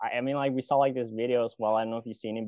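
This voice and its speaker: Monotone, flat intonation runs through this man's speech. His pitch sits in the medium range. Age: 20s. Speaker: podcast host. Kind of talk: interview. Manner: casual, many fillers like and you know.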